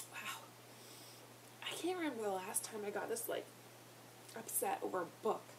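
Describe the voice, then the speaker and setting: With long, frequent pauses, a woman speaks at a moderate pace and fairly high pitch, her pitch swinging very widely over noticeable background noise and audible room echo. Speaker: book reviewer vlogger. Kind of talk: casual vlog book review.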